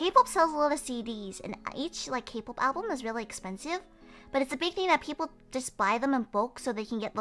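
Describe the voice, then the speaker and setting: With music in the background, a woman speaks at a moderate pace in a raised, projected voice, her high pitch making very wide swings. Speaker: vtuber streamer. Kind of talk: casual chat.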